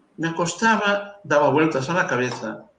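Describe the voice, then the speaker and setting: With lively intonation and audible room echo, a man speaks at a fairly slow pace. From Galicia, Spain (Carril, Ría de Arosa). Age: 70s. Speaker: priest. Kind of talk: interview, life story. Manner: halting, many fillers.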